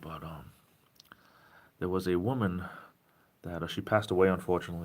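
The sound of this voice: A man's low-pitched voice in a southeastern New England accent, at a moderate pace with fairly even intonation.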